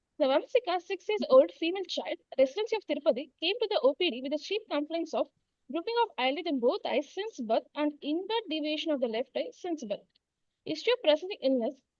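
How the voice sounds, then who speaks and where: A quiet woman talks at a very fast pace. Her extremely high pitch makes very wide swings. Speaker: medical postgraduate student. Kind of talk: case presentation. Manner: too quiet. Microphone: far from the mic.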